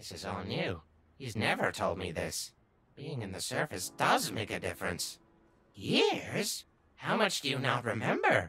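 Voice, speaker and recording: The put-on character voice is raspy and sits at a low-to-middle pitch. It moves at a moderate pace. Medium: dub.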